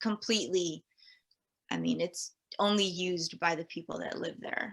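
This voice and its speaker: Using an American accent, a woman of medium pitch speaks at a moderate pace with vocal fry and a bright, sharp tone. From Guam, then Northern California from age ten. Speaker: elementary school teacher. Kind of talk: casual interview. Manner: hesitant, many fillers.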